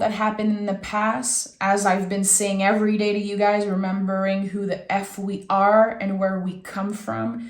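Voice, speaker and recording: Audible room echo surrounds a woman whose voice sits fairly high in pitch. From Quebec. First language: French. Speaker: tarot reader. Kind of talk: tarot reading. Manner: warm, conversational.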